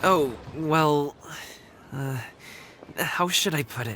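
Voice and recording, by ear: A man puts on a character voice at fairly high pitch, with a bright, sharp tone. He speaks at a slow pace with ordinary pitch variation.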